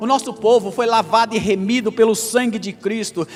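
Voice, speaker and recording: With noticeable background noise behind him, a man speaks at a moderate pace in an animated tone. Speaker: pastor. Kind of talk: sermon.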